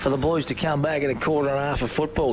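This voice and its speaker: Someone speaks in an Australian accent over noticeable background noise. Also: man. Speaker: football commentator. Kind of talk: live commentary; casual chat. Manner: animated.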